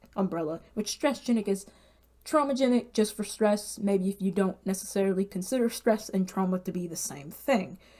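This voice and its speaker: With lively intonation and a medium pitch, a woman speaks at a moderate pace in a plain, everyday voice. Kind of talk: casual talk to camera.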